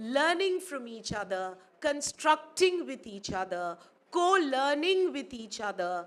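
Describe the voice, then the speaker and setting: A woman with a Pakistani accent speaks in a high voice, her pitch swinging very widely. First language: Urdu. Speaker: academic speaker. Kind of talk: conference speech. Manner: formal.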